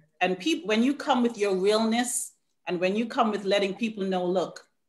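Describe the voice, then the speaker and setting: In a Caribbean accent, a woman talks with ordinary pitch variation. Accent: Caribbean island. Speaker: probation officer. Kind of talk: panel talk.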